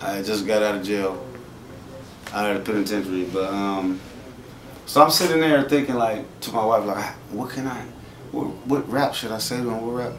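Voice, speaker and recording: With an American accent and a fairly low pitch, a man speaks at a moderate pace with lively intonation and long, frequent pauses, over light background noise and audible room echo. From US West Coast. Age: 40s. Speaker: rapper; interviewee. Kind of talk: interview. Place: shop.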